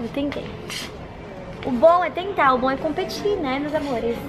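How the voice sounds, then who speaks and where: Background noise is noticeable as a woman talks at a high pitch. Her pace is moderate and her pitch varies in an ordinary way. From Brazil. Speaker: vlogger. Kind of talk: casual vlog chat. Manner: animated.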